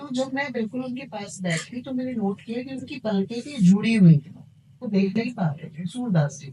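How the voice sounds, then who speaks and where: At a moderate pace, a woman with a fairly high pitch and a somewhat breathy voice speaks with very wide pitch swings and big swings in loudness. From India. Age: 50s. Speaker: tarot card reader. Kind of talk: podcast interview.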